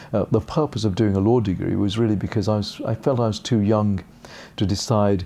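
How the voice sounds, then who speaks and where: Speaking with a British accent, a man uses a fairly low pitch, a dark, mellow tone, fairly even intonation and a fairly quick pace. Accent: received pronunciation, learnt from TV. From England. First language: Gujarati. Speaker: barrister and part-time judge. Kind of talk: interview monologue.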